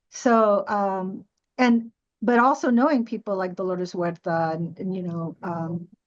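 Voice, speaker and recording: A woman speaks in a normal speaking voice at a medium pitch. Her intonation is lively and her pace moderate. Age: 60s. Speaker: panelist. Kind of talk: panel discussion.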